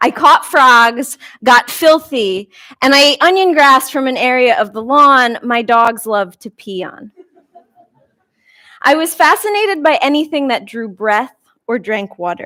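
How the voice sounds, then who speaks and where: The voice is raised and projected, bright and sharp, with an American accent. It moves at a fairly slow pace through very wide pitch swings. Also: woman. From New York. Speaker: talk speaker. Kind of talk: public talk.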